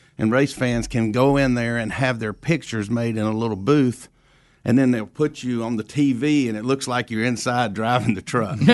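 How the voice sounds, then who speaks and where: A normal speaking voice from a man, medium in pitch, at a moderate pace with fairly even intonation and a quiet background. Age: 60s. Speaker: racetrack president, retiring. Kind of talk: casual interview.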